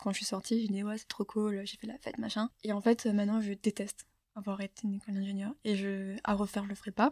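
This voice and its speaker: A woman's medium-pitched voice, dark and mellow in tone, monotone and flat, at a very fast pace, in a dry, close sound with no echo. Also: hardly any pauses, very clean recording, silent background. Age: 20s. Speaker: former engineering student. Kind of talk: testimony. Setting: studio.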